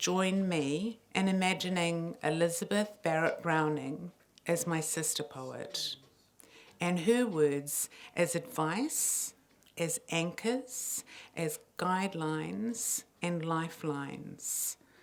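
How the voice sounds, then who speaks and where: Speaking very slowly in a New Zealand accent, a woman uses a fairly low pitch and lively intonation. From New Zealand, Samoan heritage. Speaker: poet and playwright. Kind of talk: public talk to an audience. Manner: conversational, audience-engaging.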